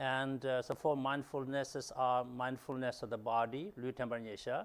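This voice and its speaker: The speaker has a Tibetan accent, a moderate pace and fairly even intonation. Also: man. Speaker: dharma interpreter. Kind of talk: teaching translation. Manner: hesitant, many fillers.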